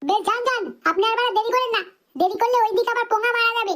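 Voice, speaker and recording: In a cartoonish character voice, a woman squeaks out her words at a very fast pace and an extremely high pitch, her loudness very even throughout. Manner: crude, cheeky.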